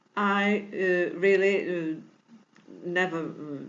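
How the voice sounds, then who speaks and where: Heard with audible room echo, a woman talks at a very slow pace with a medium pitch and ordinary pitch variation. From Portugal. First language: Portuguese. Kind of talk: tutorial. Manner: halting, many fillers; non-fluent English.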